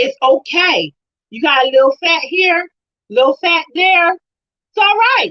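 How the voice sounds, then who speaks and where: Raising and projecting an extremely high, bright and sharp voice, a woman speaks fairly slowly with lively intonation and an animated tone, in a dry, close sound with no echo. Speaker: women's ministry live stream host. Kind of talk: motivational talk on a live stream. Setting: live stream. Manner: loud.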